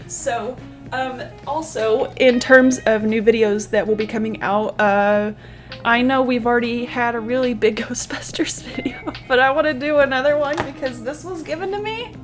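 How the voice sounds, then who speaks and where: A woman speaks at a high pitch and a moderate pace. Her voice carries audible room echo, with music in the background. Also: ordinary pitch variation. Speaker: book video creator. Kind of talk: casual vlog chat. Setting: home recording alone. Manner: loud; animated.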